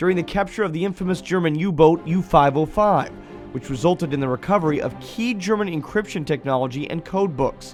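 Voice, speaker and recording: Over music in the background, a man talks in a high pitch with lively intonation. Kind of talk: corporate documentary narration.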